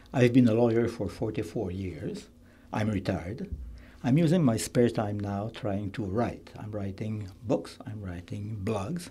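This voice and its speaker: Speaking with a Quebec accent, a man uses a dark, mellow, somewhat breathy tone at a fairly low pitch, keeping a fairly slow pace with ordinary pitch variation and big swings in loudness. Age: 70s. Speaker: political candidate, retired lawyer. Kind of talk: radio interview. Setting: studio.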